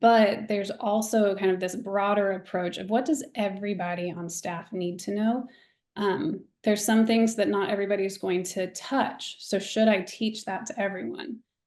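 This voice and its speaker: Against a quiet background, a woman with an ordinary speaking voice talks at a moderate pace and medium pitch with ordinary pitch variation. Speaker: church staff member, guest presenter. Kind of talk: webinar presentation.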